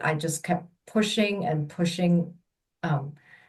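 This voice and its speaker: A woman's somewhat breathy, fairly low voice with a Mandarin accent and ordinary pitch variation. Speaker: childbirth educator. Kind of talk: personal storytelling.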